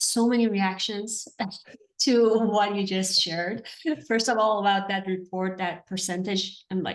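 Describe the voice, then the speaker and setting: A woman with an Iranian accent talks at a moderate pace and a medium pitch. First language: Farsi. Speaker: interviewer, therapy educator. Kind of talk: interview.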